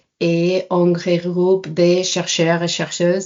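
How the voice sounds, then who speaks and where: At a very slow pace, a woman speaks in a fairly low voice with a Spanish accent. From Spain. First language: Spanish (speaking French). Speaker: science communication adviser. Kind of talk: podcast interview. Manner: hesitant, many fillers.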